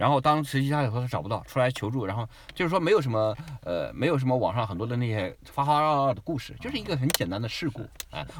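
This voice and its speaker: The man speaks at a very fast pace with lively intonation. His pitch sits in the medium range. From mainland China. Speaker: immigrant travel guest. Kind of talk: casual chat.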